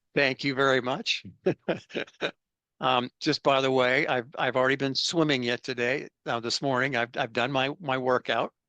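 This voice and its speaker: A man with a bright, sharp tone and fairly even intonation, in a dry, close recording with no echo and a quiet background. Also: medium pitch for a man, moderate pace. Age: 70s. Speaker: business consultant and researcher. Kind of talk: interview. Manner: halting, many fillers.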